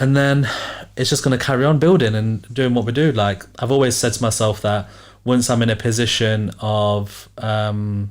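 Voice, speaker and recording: This man has a normal speaking voice, medium in pitch, with fairly even intonation. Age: 20s. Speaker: entrepreneur and podcast host. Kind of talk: casual chat.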